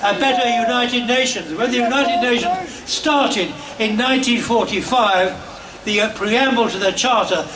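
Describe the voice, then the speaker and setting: Amid noticeable background noise, a man with an extremely high pitch talks at a moderate pace with ordinary pitch variation. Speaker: peace campaigner. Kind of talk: rally speech. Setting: outdoors. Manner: energetic.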